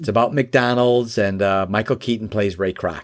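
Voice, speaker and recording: A man with an American accent and a medium pitch. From Chicago area, US Midwest. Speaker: business founder and author. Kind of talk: interview. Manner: halting, many fillers.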